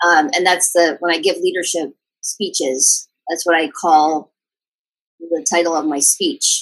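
A woman speaks with a normal speaking voice at fairly low pitch. Her pitch varies in an ordinary way. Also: fairly slow pace. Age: 40s. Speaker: innovation hub CEO. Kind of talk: interview conversation.

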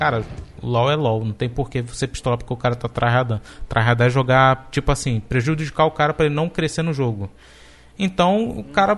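A man with a medium-pitched voice speaks fairly quickly, his intonation lively. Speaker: podcast co-host. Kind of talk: casual chat. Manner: calm.

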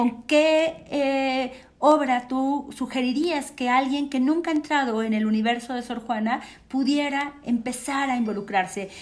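The woman's high-pitched voice moves at a fairly slow speed. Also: ordinary pitch variation. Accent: Mexican. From Mexico. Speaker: cultural program host. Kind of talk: panel moderation. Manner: halting.

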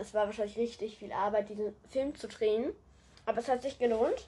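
In a fairly high voice, a woman speaks with a dark, mellow tone. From Germany. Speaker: podcaster. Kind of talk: solo podcast monologue.

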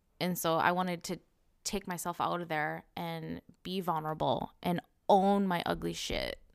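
Speech with an American accent at a moderate pace, in a very clean recording with a silent background. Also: woman. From Minnesota, US. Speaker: guest, podcaster. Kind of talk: casual chat.

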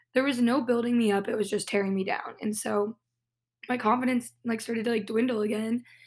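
A woman speaks at a fairly quick pace with a fairly high pitch and fairly even intonation. It's an unremarkable speaking voice on a very clean recording with a silent background. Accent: American. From Southern California. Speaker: podcaster, former competitive dancer. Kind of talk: personal storytelling monologue. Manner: casual, filler-heavy.

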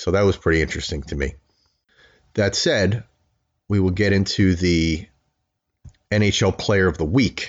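A man's very deep, low voice at a moderate pace, with ordinary pitch variation and long, frequent pauses. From Long Island, New York. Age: 30s. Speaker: podcast host, hockey dad. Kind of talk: casual monologue. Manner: hesitant, many filler words.

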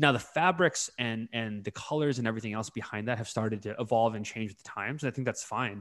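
A man's very fast delivery with a Californian accent, hardly any pauses, and a very clean recording with a silent background. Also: medium pitch for a man, ordinary pitch variation. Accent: Californian American English. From California, US (Bay Area). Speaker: podcast co-host. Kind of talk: casual discussion.

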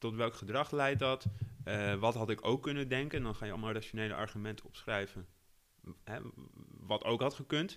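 A medium-pitched male voice at a fairly quick pace, with ordinary pitch variation and long, frequent pauses. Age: 30s. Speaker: editor-in-chief. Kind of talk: interview. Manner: hesitant, many fillers.

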